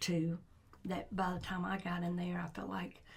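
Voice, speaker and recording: A woman's medium-pitched voice with vocal fry. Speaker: school sports coach. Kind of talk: casual chat.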